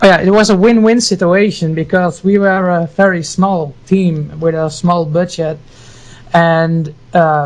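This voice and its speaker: A man with a Dutch accent, high-pitched, at a fairly slow pace. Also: fairly even intonation. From Netherlands, Friesland. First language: Dutch or Frisian. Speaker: game artist. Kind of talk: casual interview chat.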